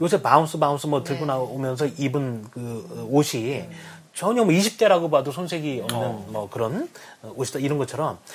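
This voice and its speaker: Fairly high in pitch, a man speaks at a moderate pace. His voice is somewhat breathy, with lively intonation. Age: 40s. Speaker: company head and book lover. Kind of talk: casual interview chat.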